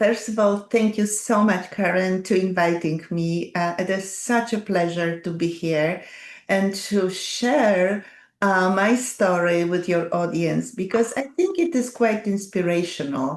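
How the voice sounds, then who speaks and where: This woman speaks with a Polish accent. Her pace is fairly slow. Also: medium pitch for a woman, ordinary pitch variation. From Poland. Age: 70s. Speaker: doctor and wellness advocate. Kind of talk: interview.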